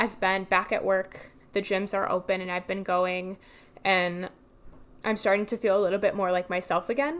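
A woman speaks in a plain, everyday voice with fairly even intonation. The recording is very clean, with a silent background. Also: medium pitch for a woman, moderate pace. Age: 20s. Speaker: podcast host. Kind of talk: personal monologue. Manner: casual, chatty.

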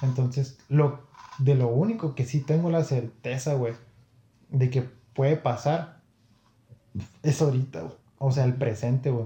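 A man with a medium pitch and a dark, mellow, somewhat breathy tone speaks with ordinary pitch variation and long, frequent pauses. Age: 20s. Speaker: podcast guest. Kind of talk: casual chat.

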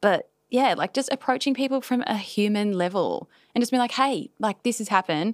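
The recording is very clean with a silent background. A woman with an Australian accent talks at a fairly quick pace, her fairly high pitch showing ordinary variation. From Australia, Newcastle NSW. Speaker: business owner and content creator. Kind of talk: casual chat. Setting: studio.

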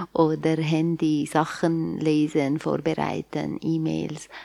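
Her pace is very slow, and her intonation is fairly even. This woman with an Arabic accent has a very deep, low pitch and a dark, mellow tone. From Syria, Aleppo. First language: Arabic (speaking German). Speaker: church worker. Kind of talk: casual conversation. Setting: remote recording.

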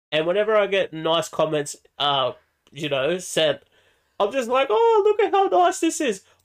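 In an Australian accent, a man talks at a moderate speed. The background is silent in this very clean recording. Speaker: podcast co-host. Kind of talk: casual chat. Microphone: echoing, sounds distant.

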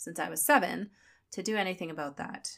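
A woman with vocal fry is heard in a very clean recording against a silent background. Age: 30s. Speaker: podcast host and personal trainer. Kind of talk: personal monologue.

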